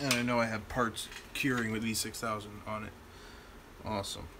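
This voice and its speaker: Noticeable background noise surrounds a man with a medium pitch. His pace is moderate and his intonation fairly even. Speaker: YouTuber, toy blaster modder. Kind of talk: live stream casual chat. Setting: home workshop live stream. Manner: casual, unrehearsed.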